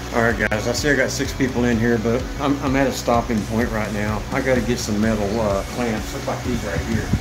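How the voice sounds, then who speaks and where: Clear music plays behind a man's voice. He talks at a fairly quick pace with hardly any pauses. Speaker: handyman live streamer. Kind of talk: casual live stream chat. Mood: relaxed, winding down. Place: bathroom. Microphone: phone near.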